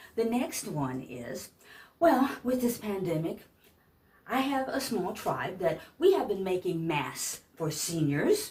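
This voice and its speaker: A woman's very slow, fry-laden voice with an American accent and very wide pitch swings. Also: medium pitch for a woman. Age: 60s. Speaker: vlogger, senior pageant titleholder and caregiver. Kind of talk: casual vlog rant. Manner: animated.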